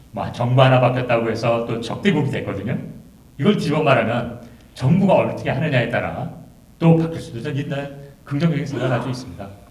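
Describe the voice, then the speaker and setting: In a room with audible echo, a man speaks very fast with ordinary pitch variation. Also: medium pitch for a man. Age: 60s. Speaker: symposium speaker. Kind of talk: symposium remarks. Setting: auditorium.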